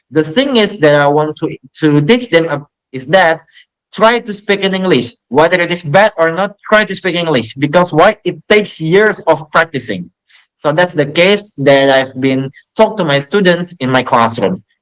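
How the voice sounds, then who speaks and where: With lively intonation, a man talks in a high pitch with an Indonesian accent. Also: moderate pace. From Indonesia, Jambi. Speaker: English teacher. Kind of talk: podcast interview.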